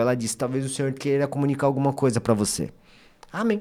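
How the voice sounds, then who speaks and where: A man speaks in an ordinary speaking voice, pitched fairly high for a man. His pitch varies in an ordinary way. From Brazil, Bragança Paulista (São Paulo state). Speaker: lawyer giving testimony on podcast. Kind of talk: testimony.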